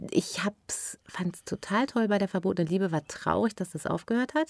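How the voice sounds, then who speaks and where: A woman talks at a moderate pace in an ordinary speaking voice with lively intonation, and the sound is dry and close with no echo. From Ruhr area, Germany (Unna near Dortmund), then Westerwald from age 15. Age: 40s. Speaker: actress and TV shopping presenter. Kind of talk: casual chat.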